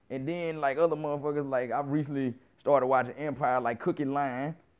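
A man with a fairly high pitch speaks in an animated tone at a moderate pace. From US South. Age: 30s. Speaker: podcast host. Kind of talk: casual monologue.

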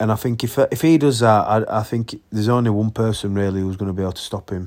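A man's fairly low voice with fairly even intonation, on a very clean recording with a silent background. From Yorkshire, England. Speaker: boxing podcast host. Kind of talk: casual solo podcast commentary. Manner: casual, halting with fillers.

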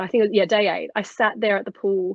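A woman with an Australian accent speaks at a moderate pace. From Australia, Sydney. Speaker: former swimmer and dietitian. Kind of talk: casual chat.

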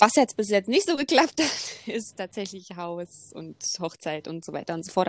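A woman is heard in a very clean recording with a silent background. The sound is dry and close, with no echo. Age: 20s. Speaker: sports coach. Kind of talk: casual chat.

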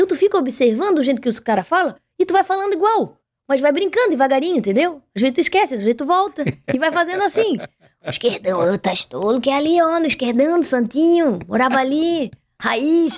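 Her voice is high and her delivery fairly brisk. The woman's pitch rises and falls very widely. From southern Brazil, Pelotas. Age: 40s. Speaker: journalist and TV presenter. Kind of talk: casual chat.

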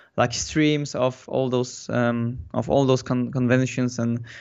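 A man with a Polish accent speaks at a moderate pace in a medium pitch. His intonation is monotone and flat. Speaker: concept artist. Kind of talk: interview. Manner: halting.

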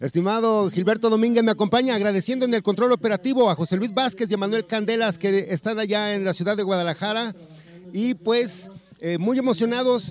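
A man with a high pitch talks at a fairly quick pace with ordinary pitch variation. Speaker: radio host. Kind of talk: live radio broadcast.

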